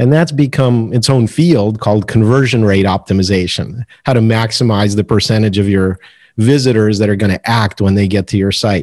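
A man's fairly low pitch with ordinary pitch variation and very even loudness. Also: fairly quick pace, very clean recording, silent background. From Soviet Union (Moscow), raised in US from age eight. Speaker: marketing expert and author. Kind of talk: podcast interview.

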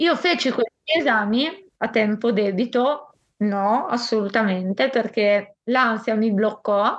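Her pace is very slow. The woman's fairly high voice shows ordinary pitch variation. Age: 20s. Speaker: volunteer and patient with a rare illness. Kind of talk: interview testimony.

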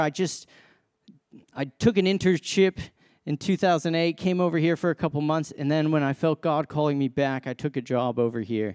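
A man with an American accent has a plain, everyday voice, speaking at a moderate pace with ordinary pitch variation. The recording is very clean, with a silent background and a dry, close sound with no echo. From US, Massachusetts. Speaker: sports minister, guest preacher. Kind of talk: sermon. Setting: church stage with congregation.

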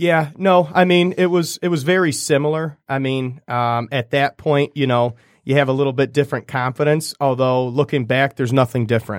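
In a plain, everyday voice with an American accent, a man speaks at a moderate pace with hardly any pauses, fairly high in pitch with ordinary pitch variation, on a very clean, dry, close recording with a silent background and no echo. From Michigan, US. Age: 20s. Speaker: real estate sales director. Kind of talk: casual chat.

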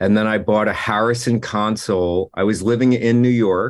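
At a fairly slow pace, a man with an American accent and an ordinary speaking voice talks with fairly even intonation. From New Jersey. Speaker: music producer and engineer. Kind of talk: interview. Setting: video call. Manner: casual, full of filler words.

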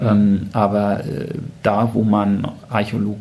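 A man speaks at a very slow pace. There is audible room echo along with noticeable background noise. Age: 50s. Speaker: museum managing director. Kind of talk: interview. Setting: in-person at the museum.

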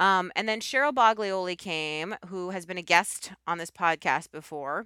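Her tone comes across bright and sharp, though this woman's pitch is fairly low. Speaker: podcast host and TV craft show host. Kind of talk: casual chat. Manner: fast.

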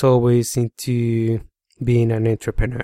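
A man with a Colombian accent, in a very clean recording with a silent background and a dry, close sound with no echo. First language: Spanish. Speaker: podcast host. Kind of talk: solo podcast monologue. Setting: home office studio.

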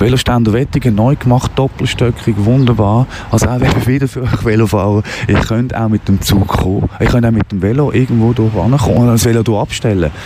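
A man speaks fairly quickly at a medium pitch, his intonation fairly even, with noticeable background noise behind him. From Basel, Switzerland. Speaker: radio host. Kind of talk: casual monologue while walking. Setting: outdoors, walking through town. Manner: rambling, hesitant with many fillers.

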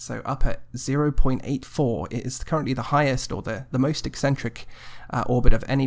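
Vocal fry marks this man's medium-pitched voice, which has ordinary pitch variation. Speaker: astrobiologist host. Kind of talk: news segment and chat.

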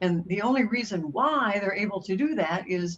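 A woman speaks with a medium pitch and a somewhat breathy quality. Her intonation is lively. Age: 80s. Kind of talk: interview.

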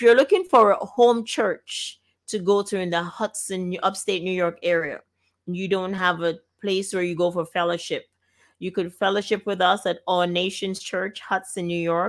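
A woman at medium pitch and moderate pace, fairly even intonation, very clean recording with a silent background. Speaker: gospel radio host. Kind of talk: radio talk show hosting. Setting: studio.

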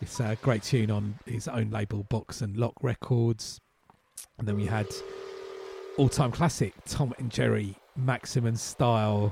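At a fairly slow pace, a man speaks in a medium pitch with a dark, mellow, somewhat breathy tone. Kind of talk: radio DJ patter: back-announcing tracks and teasing upcoming music between songs.

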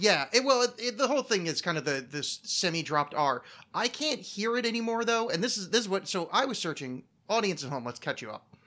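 A man speaks in a raised, projected voice with a high pitch and very wide pitch swings at a fairly quick pace. His tone is bright and sharp, and the recording is very clean with a silent background. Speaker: podcast host. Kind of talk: casual chat. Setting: studio. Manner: animated, profane.

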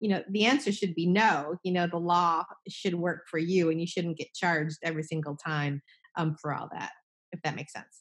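Using a normal speaking voice with an American accent, a woman with a fairly low pitch keeps a moderate pace and fairly even intonation. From New Jersey. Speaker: estate planning attorney. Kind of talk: casual interview.

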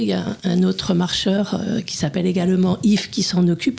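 The speech moves at a fairly quick pace with ordinary pitch variation. Noticeable background noise runs under it. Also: woman. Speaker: hiking club communications volunteer. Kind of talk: radio interview. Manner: soft-spoken. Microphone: too quiet, far from mic.

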